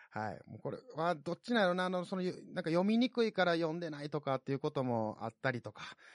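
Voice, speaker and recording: Very fast, high-pitched speech from a man with very wide pitch swings, dry and close with no echo against a quiet background. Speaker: podcast host. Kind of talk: casual solo podcast talk. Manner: animated, laughing.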